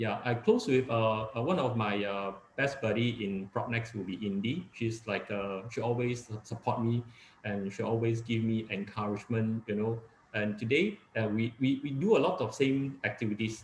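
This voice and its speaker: A man speaks in a Cantonese accent at a moderate pace and medium pitch. His voice is somewhat breathy, and his intonation is fairly even. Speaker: real estate agent. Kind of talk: webinar talk. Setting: video call. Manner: halting, many fillers.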